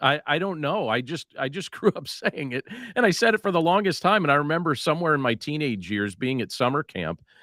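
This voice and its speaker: With hardly any pauses, a man speaks at a fairly high pitch with very wide pitch swings, vocal fry and a bright, sharp tone, in a dry, close sound with no echo on a very clean recording with a silent background. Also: fairly quick pace. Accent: American. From Northeast Pennsylvania, Coal Region near Scranton. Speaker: podcaster and author. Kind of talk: podcast interview. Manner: animated.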